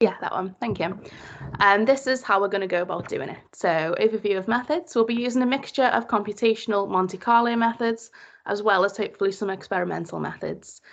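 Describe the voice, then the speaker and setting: A woman speaks in a Liverpool accent at a fairly quick pace. Her pitch variation is ordinary. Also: fairly high pitch for a woman. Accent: Liverpool (Scouse). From Liverpool, England. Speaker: PhD student. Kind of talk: presentation.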